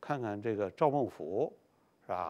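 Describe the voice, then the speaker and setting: This man's intonation rises and falls in a lively way. He speaks very slowly. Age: 70s. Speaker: painter and lecturer; lecturer. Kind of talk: lecture. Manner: frequent filler particles. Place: studio. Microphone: lapel.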